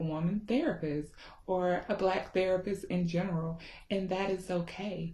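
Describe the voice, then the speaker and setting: Somewhat breathy and dark, mellow in tone, a woman with a Southern US accent speaks at a fairly slow pace, at a medium pitch with fairly even intonation. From US South, Georgia. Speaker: therapist. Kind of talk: casual talk to camera. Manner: informal with many filler ums.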